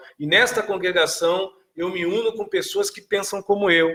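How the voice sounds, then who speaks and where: A man speaks at a moderate pace. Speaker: spiritual teacher answering viewer questions. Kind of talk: live stream talk. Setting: live stream.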